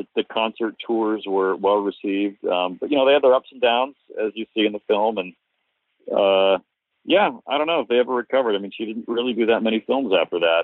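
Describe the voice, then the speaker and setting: In a plain, everyday voice, a man of medium pitch speaks at a fairly quick pace with ordinary pitch variation. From US Northeast, Cape Cod, Massachusetts. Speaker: documentary filmmaker. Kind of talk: interview.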